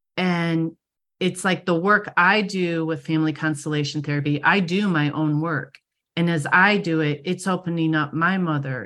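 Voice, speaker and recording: A woman with an American accent and an unremarkable speaking voice, fairly low in pitch, at a moderate pace with fairly even intonation over a quiet background. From Michigan. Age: 50s. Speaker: psychic medium. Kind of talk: interview.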